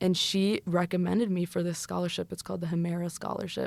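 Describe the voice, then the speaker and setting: In a very clean recording with a silent background, a woman with an American accent talks at a very fast pace. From US, Mexican-American family. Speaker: study abroad student. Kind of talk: interview. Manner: animated.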